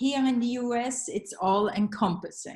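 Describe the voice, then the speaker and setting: The speaker's somewhat breathy voice moves at a fairly slow pace with fairly even intonation, in a Swiss German accent. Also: woman. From Switzerland, Zurich. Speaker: psychoanalyst and art therapist. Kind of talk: reading a paper. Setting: video call.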